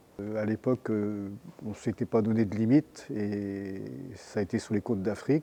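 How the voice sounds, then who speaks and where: Fairly low in pitch, the man's voice has a dark, mellow tone. His intonation stays fairly even. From France, Brittany (Lorient). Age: 70s. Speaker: retired sailor and fisherman, union activist. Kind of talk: interview testimony. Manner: hesitant, many fillers.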